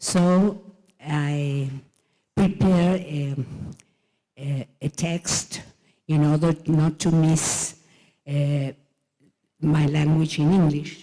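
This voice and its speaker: Very slow, with long, frequent pauses, a woman speaks with a Spanish accent in a very deep, low, dark, mellow voice and fairly even intonation. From Argentina. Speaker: president of an international education organization. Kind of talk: conference keynote speech. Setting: conference stage. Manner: halting.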